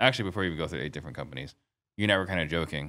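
Over a very clean recording with a silent background, a man's bright, sharp voice shows vocal fry and ordinary pitch variation. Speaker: podcast host. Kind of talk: podcast interview.

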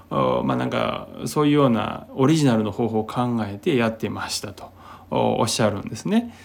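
Amid noticeable background noise, a man talks in a relaxed tone at a moderate pace. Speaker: podcast host, healer. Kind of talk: solo talk monologue. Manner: relaxed, many fillers.

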